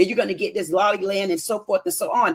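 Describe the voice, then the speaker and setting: This woman's voice swings very widely in pitch, with an animated tone. The recording is dry and close, without echo. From US. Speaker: caller on live debate stream. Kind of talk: heated debate.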